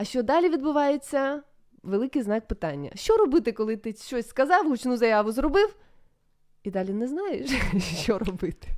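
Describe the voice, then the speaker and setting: With very wide pitch swings and long, frequent pauses, a woman speaks at a high pitch and a moderate pace. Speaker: radio host. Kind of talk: live radio talk show. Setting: studio.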